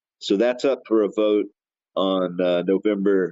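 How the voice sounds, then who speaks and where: A man's very deep, low voice with an American accent and fairly even intonation. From US. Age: 60s. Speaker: cannabis activist. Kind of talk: interview.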